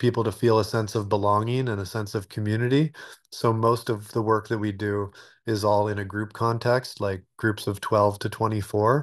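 At a moderate pace, a man with a fairly low pitch talks in a monotone, flat intonation. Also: quiet background. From Alaska. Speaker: retreat center developer. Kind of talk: interview. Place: home room. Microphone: webcam.

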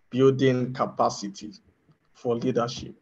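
In a somewhat breathy voice, a man talks at a fairly slow pace. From Nigeria. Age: young. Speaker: community moderator. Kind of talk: casual chat. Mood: friendly, smiling. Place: home room. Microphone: video call.

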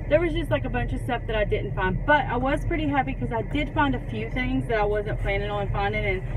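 Talking at a very fast pace with hardly any pauses, a woman comes through dry with no echo over noticeable background noise. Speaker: vlogger. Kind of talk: casual vlog chat. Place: car. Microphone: phone near.

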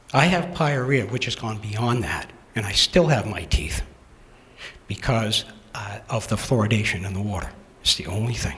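Over noticeable background noise and audible room echo, a man with an American accent talks at a medium pitch and a moderate pace, with lively intonation and long, frequent pauses. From Massachusetts. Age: 60s. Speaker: town resident. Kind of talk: public comment at town meeting. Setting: town meeting hall.

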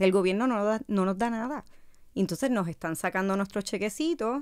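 Speaking over a quiet background, a woman with a Puerto Rican accent talks at a moderate pace with lively intonation. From Puerto Rico, Carolina; Puerto Rico. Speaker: casting director; podcast guest. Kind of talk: casual interview. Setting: studio. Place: studio. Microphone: studio mic.

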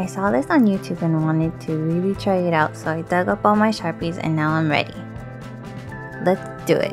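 Music plays behind a quiet woman with a very deep, low pitch and lively intonation. She talks at a moderate pace. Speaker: art channel creator. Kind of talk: casual art tutorial narration. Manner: quiet, low volume.

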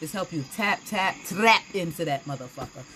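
A woman at a fairly slow pace, with noticeable background noise behind her. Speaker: tarot reader. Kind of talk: angry rant, sweary sermon-like tirade against church hypocrisy; live tarot reading, casual chatty. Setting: live stream. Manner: furious, fiery, loud, heated and passionate. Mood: passionate, confrontational about church. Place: home room. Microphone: phone near.

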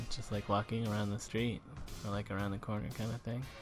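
Clear music plays in the background behind a flat, monotone delivery. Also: man. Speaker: vlogger father. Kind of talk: casual vlog chat. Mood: cheerful. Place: street. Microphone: phone near.

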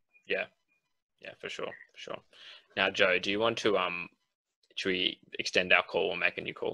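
A man with an Australian accent at a moderate pace, with long, frequent pauses and big swings in loudness over a quiet background. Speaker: podcast co-host. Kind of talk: casual chat. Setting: video call. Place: home room. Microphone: video call.

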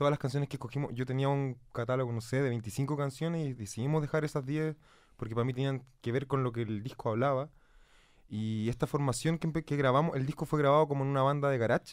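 A man with a Chilean accent, very fast and fairly even in intonation, over a quiet background. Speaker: musician. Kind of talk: casual chat. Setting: studio. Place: studio. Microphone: studio mic.

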